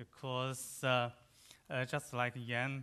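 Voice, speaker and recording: A man speaks very slowly with a Chinese accent. His pitch is medium and his tone bright and sharp. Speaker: economist. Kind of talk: conference panel talk. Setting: conference session with microphone. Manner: halting, many hesitations.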